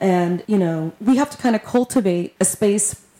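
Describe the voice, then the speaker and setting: A woman with an American accent uses an ordinary speaking voice, medium in pitch with ordinary pitch variation. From Texas. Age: 40s. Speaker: community organizer and musician. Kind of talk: casual interview.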